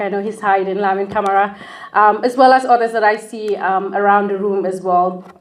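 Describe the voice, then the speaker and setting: Audible room echo surrounds a woman speaking. Her intonation stays fairly even. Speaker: law scholar and lecturer. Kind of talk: lecture.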